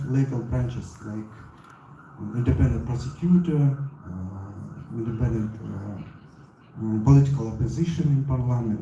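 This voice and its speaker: A man's medium-pitched voice with a Central Asian accent, amid noticeable background noise and audible room echo. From Kyrgyzstan. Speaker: audience member asking a question. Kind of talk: question at a panel discussion. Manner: halting.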